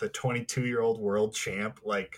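A man speaks at a medium pitch. The recording is very clean with a silent background. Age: 20s. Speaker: podcast co-host. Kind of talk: casual chat.

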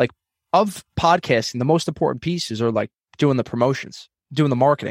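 This man has an unremarkable speaking voice, fairly high in pitch, with ordinary pitch variation and a fairly quick pace. The sound is dry and close, with no echo. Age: 30s. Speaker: financial advisor and comedian. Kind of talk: casual interview chat.

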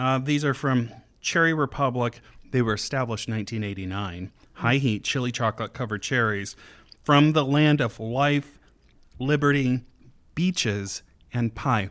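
In a very clean recording with a silent background, a man talks at a moderate pace in a normal speaking voice with ordinary pitch variation. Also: medium pitch for a man. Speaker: podcast host. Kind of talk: casual chat.

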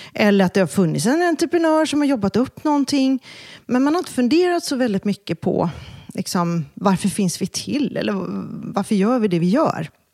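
Recorded dry and close with no echo, a woman with a dark, mellow tone talks at a moderate pace, her pitch swinging very widely while her loudness stays very even. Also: very clean recording, silent background. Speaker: brand expert. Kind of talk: casual interview.

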